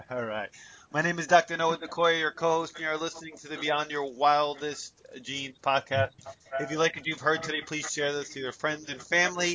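Loudness swings a lot while the intonation stays fairly even. Noticeable background noise runs underneath. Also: man, fairly high pitch for a man, fairly quick pace. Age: 40s. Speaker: podcast co-host. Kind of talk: interview; scripted promo reading.

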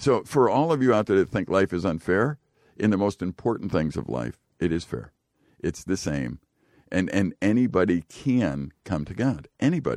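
Speaking at a moderate pace, a man with a fairly low pitch uses vocal fry and very wide pitch swings. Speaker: radio host. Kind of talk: casual radio chat. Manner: joking, teasing.

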